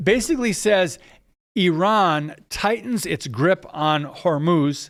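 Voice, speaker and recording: A man with an American accent speaks very slowly in a high voice with lively intonation. The recording is very clean, with a silent background. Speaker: podcast host. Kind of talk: news commentary podcast. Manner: casual, with fillers.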